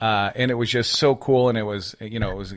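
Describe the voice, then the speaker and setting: Against a quiet background, a man with a plain, everyday voice speaks at medium pitch with ordinary pitch variation. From US Midwest, northern Michigan. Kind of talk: casual interview chat.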